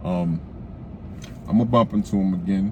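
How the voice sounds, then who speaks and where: A man with a very deep, low pitch. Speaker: YouTube vlogger. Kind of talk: casual self-help monologue. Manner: stuttering.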